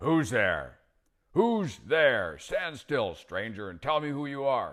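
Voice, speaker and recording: A man puts on a growling character voice at a fairly high pitch. He speaks at a fairly slow pace. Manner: menacing, demanding.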